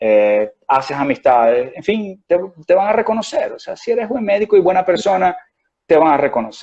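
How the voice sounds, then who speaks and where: A man speaks at a fairly slow pace. He has a slight Venezuelan accent. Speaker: doctor. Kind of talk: interview. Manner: hesitant, many fillers.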